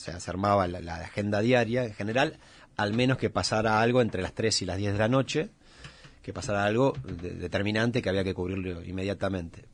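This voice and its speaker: A man talks at a fairly quick pace with a normal speaking voice and ordinary pitch variation. The background is quiet. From Argentina, Greater Buenos Aires. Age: 40s. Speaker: photojournalist. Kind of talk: radio interview.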